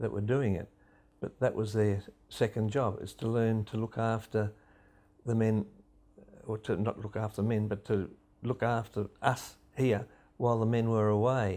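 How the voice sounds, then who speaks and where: In an Australian accent, a man speaks at a moderate pace with a fairly low pitch, a dark and mellow tone, flat monotone intonation and long, frequent pauses, on a very clean recording with a silent background. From Western Australia, Bibra Lake area. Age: 70s. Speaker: local resident recalling wartime. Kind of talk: interview testimony.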